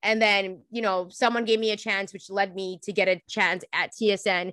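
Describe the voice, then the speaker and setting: A woman's ordinary speaking voice at medium pitch and a moderate pace, with fairly even intonation, recorded dry and close with no echo against a quiet background. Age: 30s. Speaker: sports podcast co-host. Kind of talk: casual chat.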